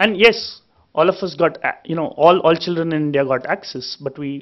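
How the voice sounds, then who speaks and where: A man moves at a fairly quick pace, his pitch varying in an ordinary way, with a quiet background behind him. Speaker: speaker. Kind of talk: panel talk. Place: hall. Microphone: podium.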